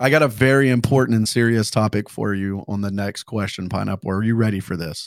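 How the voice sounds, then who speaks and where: In a very clean recording with a silent background, a man talks at a very fast pace with hardly any pauses. His tone is animated, his pitch fairly low with ordinary variation. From South Louisiana. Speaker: podcast host, Twitch streamer. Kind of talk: casual chat.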